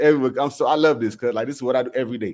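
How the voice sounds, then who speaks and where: With a Southern US accent, a man talks at a medium pitch. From South Carolina, US. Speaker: music producer. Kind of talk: interview answer.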